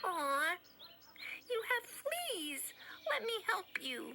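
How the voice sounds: A squeaky, cartoonish character voice at an extremely high pitch speaks very slowly in a timid tone over clear background noise.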